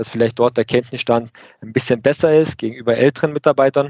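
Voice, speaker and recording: A man's medium-pitched voice holds a monotone, flat intonation and a moderate pace. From Lake Constance region, southern Germany. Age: 30s. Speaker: production manager. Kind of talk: interview podcast conversation. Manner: hesitant with many fillers.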